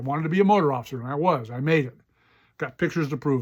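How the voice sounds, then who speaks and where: In a very clean recording with a silent background, a man talks at a very fast pace with lively intonation and an animated tone. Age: 70s. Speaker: podcast host, retired police officer and writer. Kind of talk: personal storytelling monologue.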